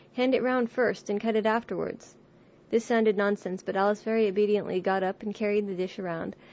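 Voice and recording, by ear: In a natural voice, someone reads a passage aloud, the intonation staying fairly level.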